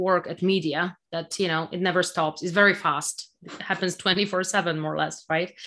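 A woman speaks with a Polish accent in a bright, sharp tone. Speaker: technology executive. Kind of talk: interview. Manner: halting.

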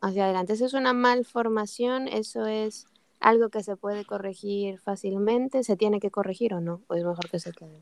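In an unremarkable speaking voice, a medium-pitched woman talks at a moderate pace with fairly even intonation and big swings in loudness, the sound dry and close with no echo. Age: 40s. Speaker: podcast host. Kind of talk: interview.

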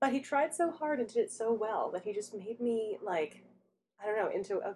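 A woman in an ordinary speaking voice, fairly high-pitched and fairly quick, with lively intonation. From Canada, Toronto. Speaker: librarian podcast co-host. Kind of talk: casual chat.

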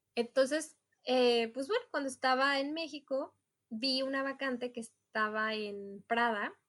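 Speaking with a Mexican accent, a woman keeps a fairly slow pace. Her pitch varies in an ordinary way. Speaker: multilingual executive assistant. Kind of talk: casual chat.

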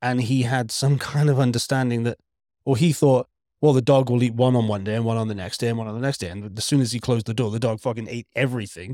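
Speaking very fast with a Welsh accent, a man with a dark, mellow tone and medium pitch keeps his intonation fairly even, and the recording is very clean with a silent background. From Wales. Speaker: podcast co-host. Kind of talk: casual chat.

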